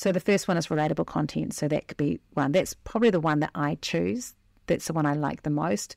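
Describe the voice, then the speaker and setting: On a very clean recording with a silent background and a dry, close sound with no echo, a woman with a very deep, low pitch and vocal fry talks at a fairly quick pace with lively intonation. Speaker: marketing coach and podcast host. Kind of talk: solo podcast tutorial. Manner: fast.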